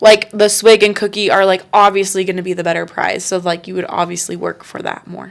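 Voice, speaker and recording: A woman of medium pitch speaks at a fairly quick pace with hardly any pauses, her intonation monotone and flat while her loudness swings widely. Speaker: podcast co-host. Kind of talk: casual chat.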